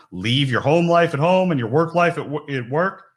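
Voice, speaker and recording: Loud and at a moderate pace, a man with a New York accent comes through on a very clean recording with a silent background. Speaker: recruiter, conference keynote speaker. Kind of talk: keynote talk.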